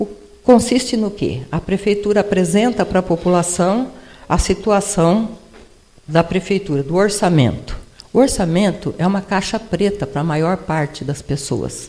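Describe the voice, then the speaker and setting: Her dark, mellow voice sits at a medium pitch for a woman, moving at a fairly slow pace with ordinary pitch variation. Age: 80s. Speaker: retired professor and former city administrator. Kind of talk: personal testimony talk at a panel event. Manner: conversational, with repetitions and self-corrections.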